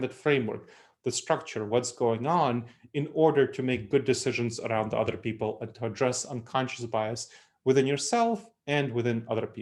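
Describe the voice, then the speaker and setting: A man with an Eastern European accent, medium pitch, ordinary pitch variation and a fairly quick pace, recorded very cleanly against a silent background. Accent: Eastern European accent, kept. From Moldova, then New York City. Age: 30s. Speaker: consultant and author, speaker. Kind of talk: lecture.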